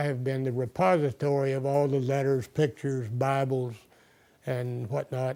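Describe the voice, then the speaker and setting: A dark, mellow tone with an American accent, flat and monotone, at a moderate pace. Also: man. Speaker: family elder recounting family history. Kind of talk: oral history testimony. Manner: halting.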